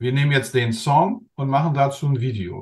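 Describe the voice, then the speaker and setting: His fairly high voice has a somewhat breathy quality. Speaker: interview show host. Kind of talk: interview host talk.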